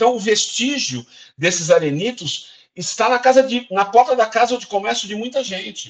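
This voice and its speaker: Lively intonation and big swings in loudness from a high-pitched man at a moderate pace. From interior of São Paulo state, Brazil (Araraquara). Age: 50s. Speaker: cultural heritage official and actor. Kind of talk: interview.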